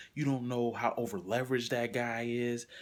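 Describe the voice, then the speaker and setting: Soft-spoken and at a medium pitch, a man is heard here. He talks at a moderate pace. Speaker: motivational vlogger. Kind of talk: motivational monologue. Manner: casual, with fillers.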